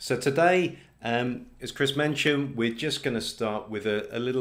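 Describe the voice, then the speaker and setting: A man with a British accent, medium pitch, ordinary pitch variation and a moderate pace. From Britain. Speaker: test company representative. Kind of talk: presentation.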